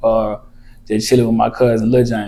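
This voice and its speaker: A man with an Arkansas accent at a very fast pace and medium pitch, flat and monotone, over noticeable background noise. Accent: Southern US (Arkansas). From eastern Arkansas, US South. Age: 30s. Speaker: rapper. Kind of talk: casual interview chat.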